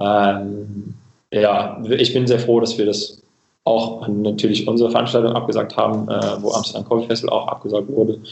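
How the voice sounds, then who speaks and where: In a monotone, flat delivery, a man with an English accent talks at a medium pitch and moderate pace. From England, Cambridge. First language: English (speaking German). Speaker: coffee equipment company representative. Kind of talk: casual interview. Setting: remote call. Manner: halting, many filler sounds.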